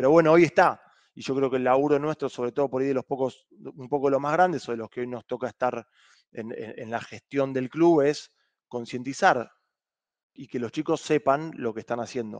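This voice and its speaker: A man with a Rioplatense accent at a fairly quick pace, ordinary pitch variation and big swings in loudness, in a dry sound with no echo and a quiet background. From Argentina. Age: 30s. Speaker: rugby club president. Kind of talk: interview. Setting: video call. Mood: relaxed, friendly. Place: home room. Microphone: headset.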